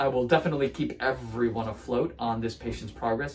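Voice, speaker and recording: The voice shows ordinary pitch variation over light background noise. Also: man. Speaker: podiatrist. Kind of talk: clinical procedure demonstration. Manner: loud; animated. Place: office. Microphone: phone near.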